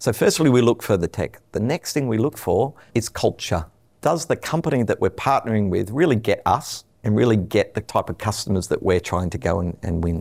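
An Australian-accented man talks at a moderate pace with very wide pitch swings on a very clean recording with a silent background. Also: medium pitch for a man. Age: 50s. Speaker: telecom executive. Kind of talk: interview.

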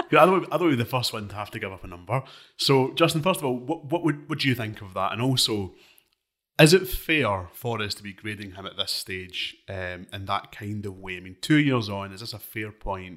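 At a fairly quick pace, a man with a Scottish accent speaks at medium pitch with very wide pitch swings, in a very clean recording with a silent background. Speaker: political editor and podcast host. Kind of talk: casual political discussion. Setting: studio.

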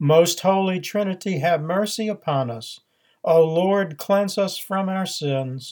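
A man's lively intonation at a fairly slow pace, on a very clean recording with a silent background. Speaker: priest and podcast homilist. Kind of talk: fervent prayer, solemn and devout, read aloud in a reverent liturgical tone; sermon-style homily with teaching commentary. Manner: slow, measured and reverent, with a hushed, pleading earnestness.

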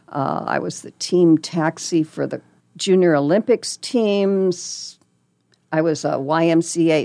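A woman at a fairly slow pace, ordinary pitch variation, a dry, close sound with no echo and a quiet background. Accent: Midwestern US. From Nebraska, Lincoln. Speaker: volunteer radio reader. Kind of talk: casual interview.

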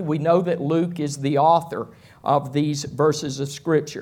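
Here is a man with an unremarkable speaking voice. His pitch is fairly high and his pace fairly slow. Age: 60s. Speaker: pastor. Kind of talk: sermon. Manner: conversational.

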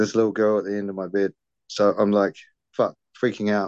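A man with a New Zealand accent, fairly low in pitch, at a moderate pace, in a dry, close recording with no echo and a quiet background. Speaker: podcaster. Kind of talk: casual interview, personal storytelling.

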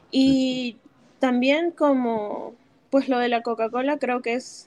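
A woman speaks at a fairly slow pace in a high pitch. Her pitch varies in an ordinary way. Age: 20s. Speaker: former church member. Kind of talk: casual chat. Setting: remote call.

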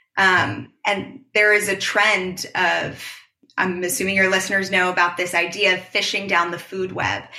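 Over audible room echo, a woman with an American accent speaks at a moderate pace in a medium pitch, her intonation monotone and flat. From US Northeast, New York City. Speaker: marine science PhD student. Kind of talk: interview.

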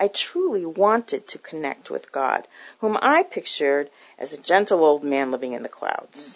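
A woman in an American accent at a moderate pace, with a quiet background. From Newton, Massachusetts. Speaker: ministry worker. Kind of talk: testimony.

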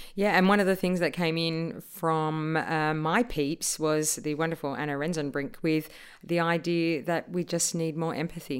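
A woman with an ordinary speaking voice and a fairly low pitch talks at a moderate pace with hardly any pauses. Her intonation is fairly even, and the recording is very clean with a silent background. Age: 40s. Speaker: podcast co-host, improviser. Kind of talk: casual chat; scripted outro.

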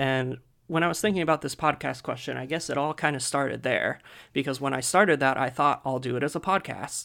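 On a very clean recording with a silent background, a man with a fairly high pitch, vocal fry and ordinary pitch variation speaks at a fairly quick pace with an American accent. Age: 20s. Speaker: podcast host and toy photographer. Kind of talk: casual chat.

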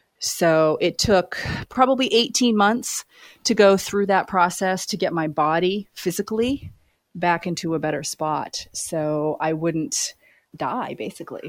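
Against a silent background in a very clean recording, a woman with an American accent and an ordinary speaking voice talks at a fairly slow pace, with medium pitch and lively intonation. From Maine, US. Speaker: business executive and career coach. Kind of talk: interview.

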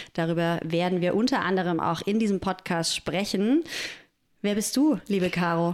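This woman has an unremarkable speaking voice, with medium pitch, ordinary pitch variation and a moderate pace. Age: 30s. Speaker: podcast co-host and doula. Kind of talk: casual chat.

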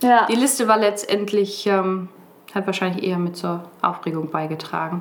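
In a normal speaking voice, the speaker keeps a moderate pace and shows ordinary pitch variation. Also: woman, medium pitch for a woman. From northern Germany (Brake, Lower Saxony). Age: 20s. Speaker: hospital volunteer and nursing trainee. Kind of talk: podcast interview.

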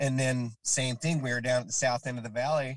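A man with a plain, everyday voice and an American accent, medium pitch, fairly quick pace, and a dry, close sound with no echo. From Utah, Salt Lake area (Kearns). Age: 40s. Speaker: skateboarder and carpenter, skate park volunteer. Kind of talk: casual chat.

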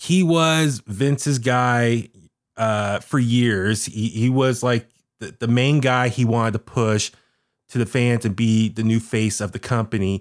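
Here is a normal speaking voice from a man at medium pitch with ordinary pitch variation. He goes at a fairly slow pace on a very clean recording with a silent background. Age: 40s. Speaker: wrestling fan and podcast guest co-host. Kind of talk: casual wrestling talk-show chat. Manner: loose, filler-heavy with frequent uh and restarts.

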